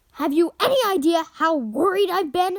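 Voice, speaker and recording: An extremely high-pitched put-on character voice from a woman at a moderate pace. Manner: deadly whisper.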